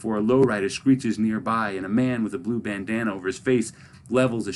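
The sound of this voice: The delivery is an unforced reading voice.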